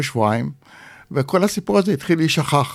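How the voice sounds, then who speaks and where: Here a man speaks at a moderate pace and a fairly high pitch. His intonation is lively. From Israel. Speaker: author. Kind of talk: interview.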